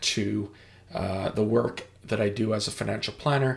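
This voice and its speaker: A man's fairly low voice with vocal fry and ordinary pitch variation. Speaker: financial planner and musician. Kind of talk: presentation walkthrough. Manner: hesitant, many fillers.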